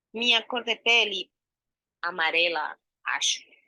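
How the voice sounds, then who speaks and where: This woman has a Spanish accent and a fairly high pitch that swings very widely. Her tone is bright and sharp, her pace is very slow, and the sound is dry and close with no echo. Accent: Spanish-speaking foreign. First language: Spanish (speaking Portuguese). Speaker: actress and researcher. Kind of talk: self-description presentation.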